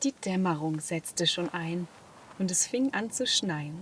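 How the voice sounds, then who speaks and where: A woman speaks very slowly in a calm tone with lively intonation, over noticeable background noise. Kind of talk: sleep story. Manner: calm, soft-spoken.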